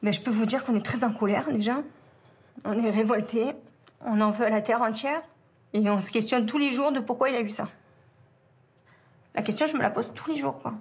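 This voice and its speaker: A woman speaks at a fairly quick pace and fairly high pitch with ordinary pitch variation, sounding somewhat breathy. Her speech has long, frequent pauses. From southern France, around the Étang de Berre. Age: 40s. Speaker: bereaved mother. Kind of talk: testimony. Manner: halting, many hesitations.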